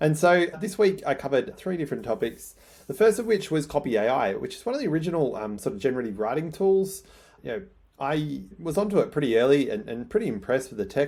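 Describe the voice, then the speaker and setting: A man talks very fast in an Australian accent, his voice fairly high and full of vocal fry. His pitch swings very widely. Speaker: newsletter writer. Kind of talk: casual vlog talk. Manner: excitable.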